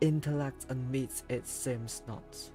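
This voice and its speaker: With music in the background, a man with a non-native accent speaks very slowly in a calm tone, at medium pitch with ordinary pitch variation. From Hong Kong. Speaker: VTuber. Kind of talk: poetry reading. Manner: slow, calm.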